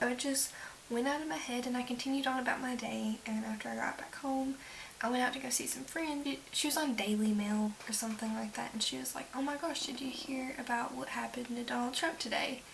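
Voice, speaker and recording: A tired-sounding woman whispering quietly at a fairly quick pace, with noticeable background noise. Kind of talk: casual talk to camera. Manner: whispered, quiet, tired.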